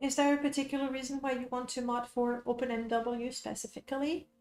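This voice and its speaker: Over music in the background, a woman with a French accent speaks at a high pitch and a moderate pace in monotone, flat intonation. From France. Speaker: game streamer and modder. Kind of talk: casual live stream chat. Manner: casual with fillers.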